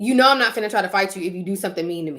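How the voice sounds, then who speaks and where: A woman speaks with lively intonation. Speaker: YouTuber. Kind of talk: casual chat. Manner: fast.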